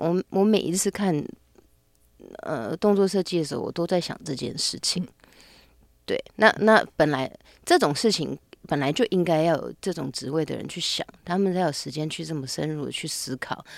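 At a moderate pace, an ordinary speaking voice with lively intonation comes through on a very clean recording with a silent background. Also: woman, fairly low pitch for a woman. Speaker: actress and intimacy coordinator. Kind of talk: interview conversation.

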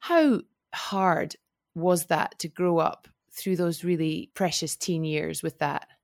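In a very clean recording with a silent background and a dry, close sound with no echo, a woman with a normal speaking voice and a fairly low pitch talks at a fairly slow pace. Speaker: podcast host. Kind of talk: casual interview chat.

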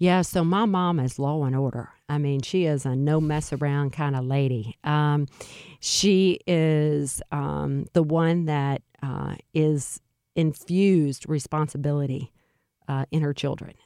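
In a very clean recording with a silent background, a woman with a slight Louisiana accent speaks at a fairly slow pace in a very deep, low voice with a dark, mellow tone and fairly even intonation. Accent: slight Louisiana Southern. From central Louisiana. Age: 50s. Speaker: nonprofit executive. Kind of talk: interview conversation. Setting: studio.

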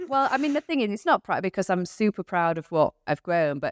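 A woman with a British accent speaks at a moderate pace and a fairly low pitch. The recording is very clean with a silent background, and the sound is dry and close with no echo. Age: 30s. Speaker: business owner. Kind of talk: interview.

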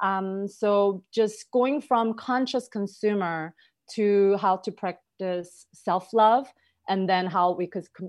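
Speaking at a very slow pace, a woman with a Korean accent uses a medium pitch and ordinary pitch variation. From South Korea. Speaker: holistic health practitioner. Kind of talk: interview.

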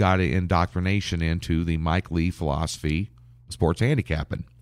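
A man with a very deep, low pitch and an American accent, at a moderate pace, in a very clean recording with a silent background. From Nebraska, US Midwest. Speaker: professional sports handicapper. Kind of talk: interview.

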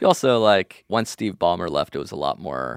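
Vocal fry and very wide pitch swings in a dry, close sound with no echo. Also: man. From Los Angeles. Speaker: podcast host, guest. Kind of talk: casual chat. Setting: remote call.

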